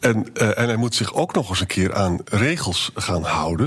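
A man's pitch varies in an ordinary way while noticeable background noise carries on behind him. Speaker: historian, podcast co-host. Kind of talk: casual chat.

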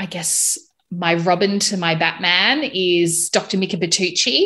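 A woman speaks with a bright, sharp tone and fairly even intonation over a quiet background. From Australia, Melbourne. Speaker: postpartum doula and podcast host. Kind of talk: casual interview chat.

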